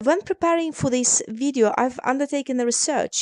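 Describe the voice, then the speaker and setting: With lively intonation and a non-native accent, a woman speaks in a dry, close sound with no echo. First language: not English. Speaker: immigration solicitor. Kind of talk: explainer tutorial.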